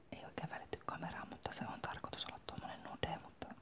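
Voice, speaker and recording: Noticeable background noise behind a woman's moderately paced whisper. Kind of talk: ASMR whispered talk about makeup. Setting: home, morning coffee. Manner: whispered, soft-spoken.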